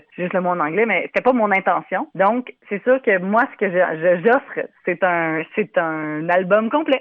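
The woman's intonation is lively. Her pitch sits in the medium range. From Ireland, raised by Québécois parents. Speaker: singer. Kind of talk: interview. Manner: animated.

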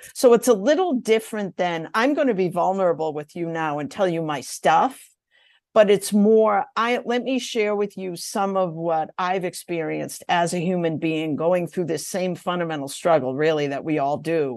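A plain, everyday voice from a woman, fairly low in pitch, with lively intonation at a moderate pace over a quiet background. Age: 60s. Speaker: executive leadership coach, university career dean. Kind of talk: casual interview conversation.

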